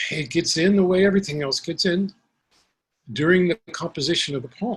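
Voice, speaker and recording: With a New York accent, a man speaks at a moderate pace in a fairly high pitch. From Brooklyn, New York, Puerto Rican family. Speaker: poet. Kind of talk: Q&A after poetry reading. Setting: video call.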